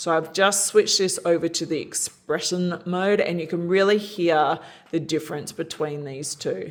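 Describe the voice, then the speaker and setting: Fairly low in pitch, a woman speaks with an Australian accent and fairly even intonation. Her moderate pace comes through in a very clean recording with a silent background. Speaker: product reviewer. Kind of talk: tutorial.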